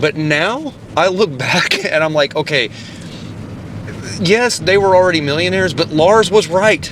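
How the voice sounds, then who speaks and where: A man with a high pitch and an animated tone, at a fairly slow pace with long, frequent pauses, over noticeable background noise. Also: ordinary pitch variation. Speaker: podcast host and musician. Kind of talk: casual chat.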